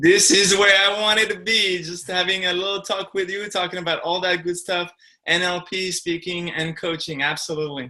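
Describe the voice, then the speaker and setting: A man speaks with a French accent at a high pitch and a moderate pace. His tone is bright and sharp, and his intonation flat and monotone. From France. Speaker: speaker and coach. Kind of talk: interview.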